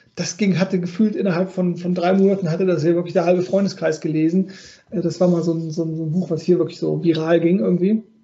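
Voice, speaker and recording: A high-pitched man rattles off his words at a very fast pace in a monotone, flat intonation. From Rhineland, Cologne area. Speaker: podcast host, life coach. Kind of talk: interview.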